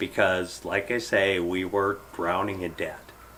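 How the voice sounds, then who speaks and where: A man with a fairly low pitch speaks at a moderate pace while noticeable background noise runs underneath. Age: 50s. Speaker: software engineer. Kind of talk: casual chat.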